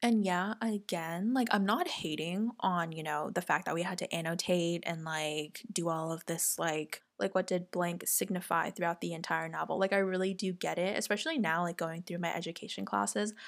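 In a plain, everyday voice, a woman speaks at a moderate pace with hardly any pauses, her fairly low pitch showing ordinary variation, on a very clean recording with a silent background. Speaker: podcast host and college student. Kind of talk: casual chat.

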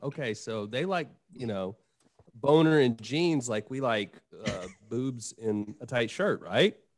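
A man talks at a fairly slow pace. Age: 40s. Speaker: podcaster on men's growth. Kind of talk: casual chat.

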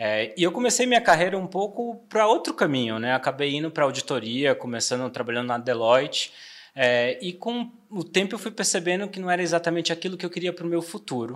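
Talking at a fairly quick pace, a man uses a high pitch. His pitch swings very widely. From Bahia, Brazil (Salvador). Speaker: trade marketing director. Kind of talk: interview podcast.

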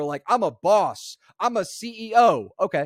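On a very clean recording with a silent background, a man talks in an animated tone with lively intonation, the sound dry and close with no echo. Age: 20s. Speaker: podcast host and coach. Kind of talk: monologue.

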